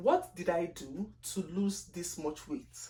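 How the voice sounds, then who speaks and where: A woman's somewhat breathy, medium-pitched voice with lively intonation and a strong Nigerian accent. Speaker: lifestyle vlogger. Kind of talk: casual vlog monologue. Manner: deliberately slow; chatty, expressive.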